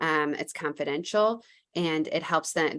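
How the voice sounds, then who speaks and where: A woman speaks with lively intonation. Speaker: credit union foundation presenter. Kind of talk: webinar presentation. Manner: fast.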